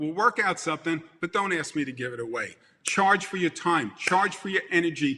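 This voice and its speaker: A man with a Brooklyn accent, lively intonation and a moderate pace. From Brooklyn, New York. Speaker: event industry speaker. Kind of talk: motivational speech. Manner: animated.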